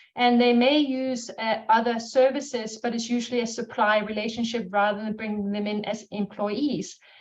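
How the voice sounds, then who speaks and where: Woman with a Danish accent, high-pitched, fairly even in intonation, at a moderate pace. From Denmark. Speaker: marketing strategist, business owner. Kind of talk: webinar panel talk.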